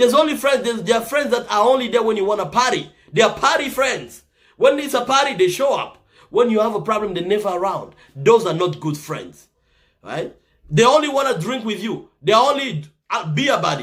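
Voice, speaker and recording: Speaking high for a man with a slight Congolese accent, he talks at a fairly quick pace in an animated tone with lively intonation. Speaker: motivational talk show host. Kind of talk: motivational talk.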